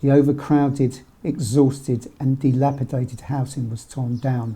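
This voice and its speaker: A man's somewhat breathy voice, dark and mellow in tone, at medium pitch with monotone, flat intonation and a fairly slow pace. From London, Somers Town. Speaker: documentary narrator. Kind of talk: scripted narration.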